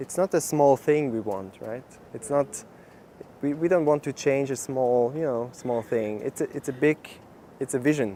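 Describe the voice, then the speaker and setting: Moving at a moderate pace, a man speaks in a dark, mellow tone with ordinary pitch variation. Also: medium pitch for a man. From Switzerland. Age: 20s. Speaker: campaign manager. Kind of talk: interview. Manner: halting, repeats words.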